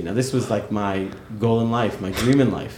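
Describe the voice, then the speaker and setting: At a fairly quick pace, a man speaks in a fairly low pitch amid audible room echo. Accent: New York. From New York (Queens). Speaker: yeshiva head and rabbi. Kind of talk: interview.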